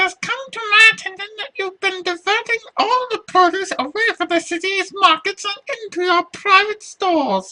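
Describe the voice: A shrill, put-on character voice at an extremely high pitch, moderate pace and hardly any pauses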